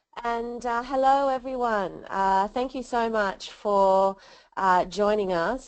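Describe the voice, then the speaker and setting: There's a woman speaking with an Australian accent over a quiet background. Her pitch varies in an ordinary way. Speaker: leadership researcher and coach. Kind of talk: webinar presentation. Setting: webinar.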